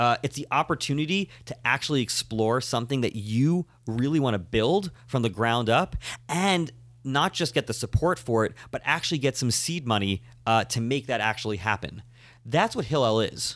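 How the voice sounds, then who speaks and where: On a very clean recording with a silent background, a man with an American accent talks at medium pitch and moderate pace with lively intonation. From Long Island, New York. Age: 30s. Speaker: rabbi. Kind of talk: casual chat.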